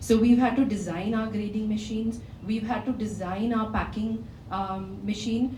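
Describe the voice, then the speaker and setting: Amid noticeable background noise and audible room echo, a woman speaks at a fairly high pitch with fairly even intonation. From Kerala, India. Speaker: company founder. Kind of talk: conference talk. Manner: loud.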